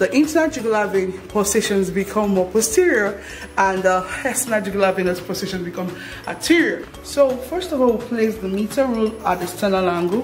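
Faint music plays in the background. The speech moves at a fairly quick pace. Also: woman. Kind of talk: tutorial.

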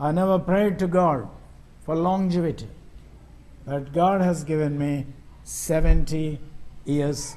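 A man with an Indian accent and a dark, mellow tone speaks at a fairly high pitch, very slowly, with ordinary pitch variation and long, frequent pauses. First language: Telugu. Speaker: missionary preacher. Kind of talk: sermon. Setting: church. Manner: halting. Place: church. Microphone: podium.

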